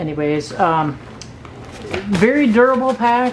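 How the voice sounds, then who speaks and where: A woman's voice amid noticeable background noise. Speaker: product reviewer. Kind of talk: product review tutorial. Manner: casual, hesitant with fillers.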